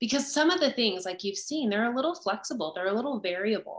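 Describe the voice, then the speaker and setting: A woman with a fairly high pitch, a bright, sharp tone and lively intonation. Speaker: presenter. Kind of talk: webinar presentation. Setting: video call.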